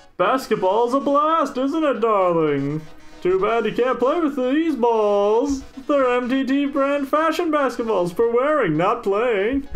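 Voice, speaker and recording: The put-on character voice is fairly high in pitch and delivered at a fairly slow pace. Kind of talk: campy TV presenter. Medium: game stream. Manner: flamboyant, dramatic, flirtatious.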